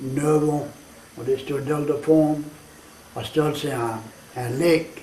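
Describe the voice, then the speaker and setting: The speaker talks at a very slow pace in a Cajun accent. Noticeable background noise and audible room echo fill the recording. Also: man. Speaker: storyteller. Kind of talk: interview.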